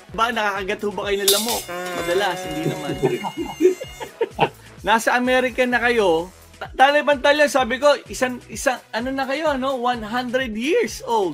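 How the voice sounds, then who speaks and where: With music playing in the background, a man talks at a moderate pace in an extremely high voice that shows ordinary pitch variation. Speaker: TV host. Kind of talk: casual video call interview host.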